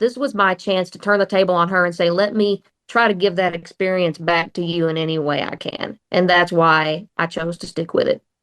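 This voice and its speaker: In an Oklahoma accent, the voice moves at a moderate pace with ordinary pitch variation. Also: woman. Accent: Oklahoma twang. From southeast Oklahoma, Atoka. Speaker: country singer. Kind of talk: radio interview.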